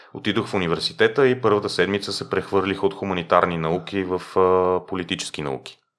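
Very deep and low in pitch, a man talks at a fairly quick pace with hardly any pauses and ordinary pitch variation. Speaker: tour guide. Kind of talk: interview. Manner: slightly lazy articulation; clear.

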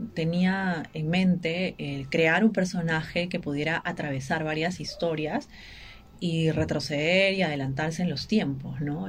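A woman talks with a fairly low pitch. Her voice is somewhat breathy. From Peru, Ica. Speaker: writer and journalist. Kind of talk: radio interview. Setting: radio studio. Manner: halting.

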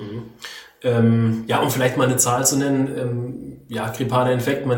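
Male speech amid noticeable background noise and audible room echo. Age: 30s. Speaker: podcast host, journalist and amateur runner. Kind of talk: casual interview chat. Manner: hesitant, many fillers.

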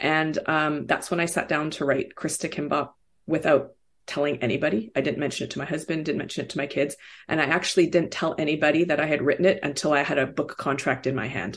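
A woman speaks very fast with a Canadian accent against a quiet background. Her pitch is very deep and low, and her intonation stays fairly even. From Vancouver, Canada. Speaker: children's author. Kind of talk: interview conversation.

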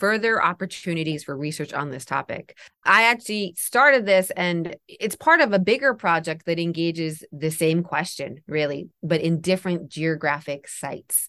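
Over a quiet background, a woman speaks at a moderate pace with hardly any pauses. Her tone is bright and sharp, her pitch fairly low and her intonation lively. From Japan. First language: Japanese. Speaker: professor of religious studies. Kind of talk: academic interview.

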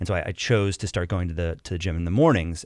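A very fast man's voice, very deep and low in pitch, on a very clean recording with a silent background. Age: 30s. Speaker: widower of a shooting victim. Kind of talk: interview testimony. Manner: halting, many fillers and repetitions.

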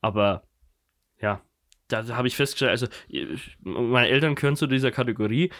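A man talks at a fairly quick pace in a medium pitch with ordinary pitch variation. The recording is very clean, with a silent background. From Germany, Kulmbach (Upper Franconia). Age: 20s. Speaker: podcast co-host. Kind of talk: casual chat.

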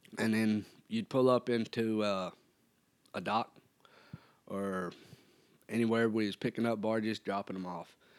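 A man with a Tennessee accent, fairly low-pitched and monotone in flat intonation, at a moderate pace with long, frequent pauses. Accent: US Southern (Tennessee). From Tennessee (Erin). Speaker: cowboy and bull rider. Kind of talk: casual interview.

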